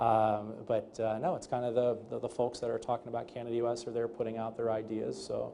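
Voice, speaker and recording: Speaking at a fairly quick pace with hardly any pauses, a man uses a medium pitch, a dark, mellow tone and monotone, flat intonation. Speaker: trade lawyer. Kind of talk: panel interview. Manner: loud; fast with many fillers.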